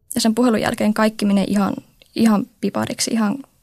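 A woman speaks at a fairly high pitch and a fairly quick pace. Her voice is somewhat breathy. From Oulu, Finland. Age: 20s. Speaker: comic blogger. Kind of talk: personal testimony.

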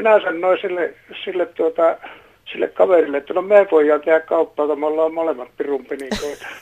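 This man talks at a fairly quick pace with a high pitch. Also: ordinary pitch variation. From North Karelia, Finland. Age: old. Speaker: caller. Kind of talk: phone-in call.

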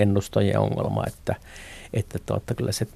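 Monotone, flat delivery from a man with a fairly low pitch. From Finland, Northern Ostrobothnia (Haapavesi). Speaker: economist. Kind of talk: interview. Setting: studio. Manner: halting, many filler words.

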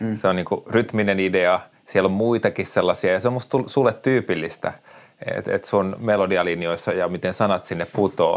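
At a moderate pace, a man with a fairly low pitch and fairly even intonation talks in an ordinary speaking voice. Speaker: writer and podcast host. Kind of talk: casual interview chat.

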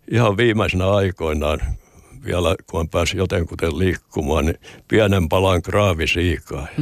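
Recorded very cleanly with a silent background and a dry, close sound with no echo, a man speaks at a moderate pace in a very deep, low pitch with ordinary pitch variation. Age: 80s+. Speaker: retired sea captain and hospice volunteer. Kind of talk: interview.

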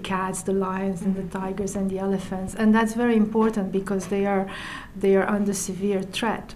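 Speech comes at a fairly slow pace in a flat, monotone delivery, with audible room echo and noticeable background noise. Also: woman. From Romania. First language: Romanian (speaking Finnish). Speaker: UN environmental official. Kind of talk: interview.

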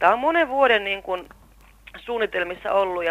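A woman's medium-pitched voice with lively intonation, an unremarkable speaking voice. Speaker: actress, guest's sister. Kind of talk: interview testimony.

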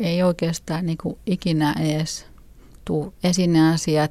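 Her tone dark and mellow, a woman speaks very slowly in a fairly low pitch with fairly even intonation, in a very clean recording with a silent background. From Finland. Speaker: freethinker parent. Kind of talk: interview.

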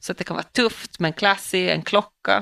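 With a plain, everyday voice, a woman at medium pitch speaks fairly slowly with ordinary pitch variation against a quiet background, in a dry, close sound with no echo. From Åland. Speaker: police officer and podcast co-host. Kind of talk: casual chat.

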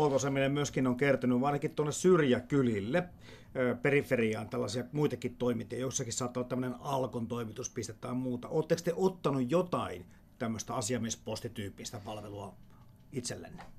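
At a fairly quick pace, a man talks in a normal speaking voice with ordinary pitch variation. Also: medium pitch for a man.

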